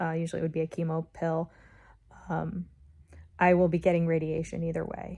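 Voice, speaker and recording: A woman speaks at a moderate pace in a fairly low, monotone voice with flat intonation over a quiet background. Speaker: vlogger documenting cancer journey. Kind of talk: video diary. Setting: at home in recliner. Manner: hesitant, many fillers.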